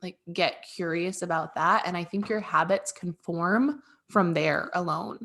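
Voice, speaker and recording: Speaking at a fairly slow pace, a woman with a fairly low pitch uses ordinary pitch variation and a bright, sharp tone. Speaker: podcast co-host. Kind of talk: casual chat. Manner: animated.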